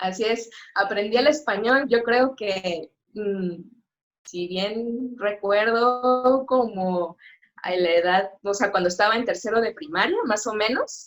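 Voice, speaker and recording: The pace is very slow. The pitch variation is ordinary. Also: woman, fairly high pitch for a woman. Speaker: sign language interpreter. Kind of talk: interview. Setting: live stream. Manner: hesitant, many fillers.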